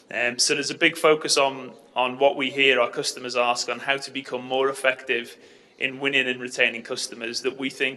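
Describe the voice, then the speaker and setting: Over noticeable background noise, a man with a London accent speaks at a fairly quick pace in a medium pitch, his intonation monotone and flat. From London, England. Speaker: tech company sales lead. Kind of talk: conference presentation. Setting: conference stage with audience. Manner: conversational with frequent fillers.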